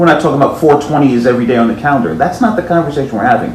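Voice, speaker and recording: Room echo and noticeable background noise surround a man whose fairly high voice has lively intonation. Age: 60s. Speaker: podcast co-host. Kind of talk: casual chat.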